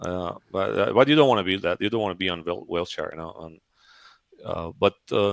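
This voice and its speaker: A man with a Persian accent, fairly low pitch and ordinary pitch variation, in a dry, close sound with no echo. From Iran. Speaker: 3D artist. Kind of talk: interview on a livestream. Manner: halting, many fillers.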